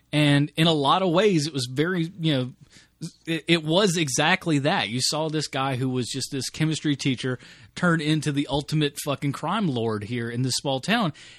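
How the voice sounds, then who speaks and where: A man speaks in a plain, everyday voice, fairly high in pitch with ordinary pitch variation and a moderate pace. The sound is dry and close with no echo over a quiet background. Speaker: podcast host. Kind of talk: casual chat.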